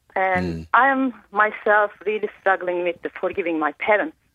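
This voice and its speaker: A woman with a Turkish accent. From Turkey. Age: 40s. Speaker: caller. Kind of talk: call-in personal story. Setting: phone call. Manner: halting.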